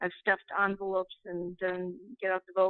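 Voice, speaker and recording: The speaker has an Upper Midwest accent. The pace is moderate. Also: woman. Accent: Upper Midwest American. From Minnesota. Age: 60s. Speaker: caller. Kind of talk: call-in comment. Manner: halting.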